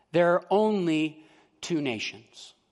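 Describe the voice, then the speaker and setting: A man talks at a very slow pace in a high pitch, his intonation lively. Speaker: pastor. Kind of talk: sermon. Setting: church.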